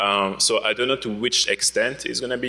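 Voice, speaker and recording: A man with a French accent at a moderate pace. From France. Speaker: security researcher. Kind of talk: conference talk. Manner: hesitant, many fillers.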